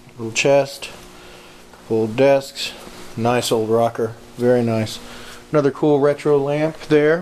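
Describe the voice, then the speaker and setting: A man with an American accent, medium in pitch, at a very slow pace with fairly even intonation and long, frequent pauses, over noticeable background noise. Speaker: auctioneer. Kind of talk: walkthrough preview narration of auction lots. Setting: walking through auction hall with camera. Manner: casual, rattling off lot descriptions.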